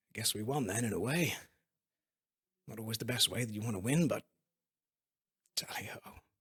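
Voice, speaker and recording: Using a put-on character voice, a man talks at a fairly quick pace with raspy delivery and a medium pitch. Long, frequent pauses break up his speech. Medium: actual play. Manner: breezy, upper-class bluster.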